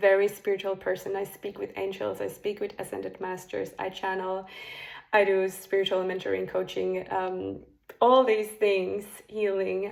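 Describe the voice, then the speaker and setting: A woman speaks with a Finnish accent. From Finland. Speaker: spiritual coach. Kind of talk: casual monologue to camera. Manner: hesitant, with fillers.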